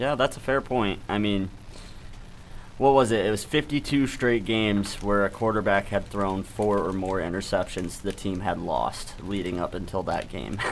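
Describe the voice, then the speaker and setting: A man with a fairly low pitch talks in a plain, everyday voice at a moderate pace, with ordinary pitch variation. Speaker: sports talk show panelist. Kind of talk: casual sports debate. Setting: studio.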